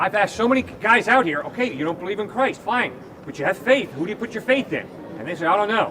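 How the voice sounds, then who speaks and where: A man's raised, projected voice, high in pitch, very fast and lively in intonation, over noticeable background noise. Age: 60s. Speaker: campus evangelist. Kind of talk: debate. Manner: animated.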